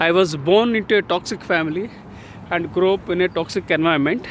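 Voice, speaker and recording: In an Indian accent, a man with a high pitch speaks at a fairly slow pace with ordinary pitch variation. There is noticeable background noise. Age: 60s. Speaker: author and leadership speaker. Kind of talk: casual talk to camera while walking. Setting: outdoors. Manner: hesitant, many fillers.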